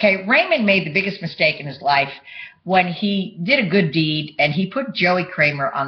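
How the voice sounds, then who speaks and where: Speaking with a New York accent, a woman uses lively intonation at a medium pitch and a moderate pace. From New York (Bronx). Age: 60s. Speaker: vlogger. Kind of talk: personal monologue to webcam. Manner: halting.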